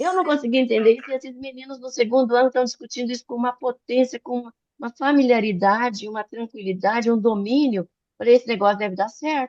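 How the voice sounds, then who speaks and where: At a very fast pace, the speech shows ordinary pitch variation and big swings in loudness, recorded dry and close with no echo. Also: woman, high pitch for a woman. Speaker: physician and medical educator. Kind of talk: online talk / lecture. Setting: video call. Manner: animated.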